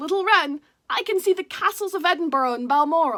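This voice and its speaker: A woman puts on a character voice, pitched extremely high and delivered at a fairly quick pace. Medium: read story. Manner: boastful, grand.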